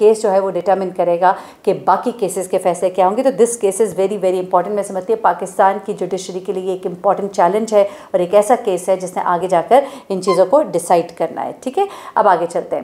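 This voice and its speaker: The woman's delivery moves at a moderate pace. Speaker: commentator on news. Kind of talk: commentary. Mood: serious, explanatory. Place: home room. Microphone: phone near.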